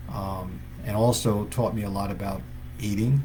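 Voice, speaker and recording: The room echo is audible around this man's voice. His pitch is fairly low and his intonation is lively. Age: 60s. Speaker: chiropractor. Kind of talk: live stream talk to viewers. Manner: halting, many fillers.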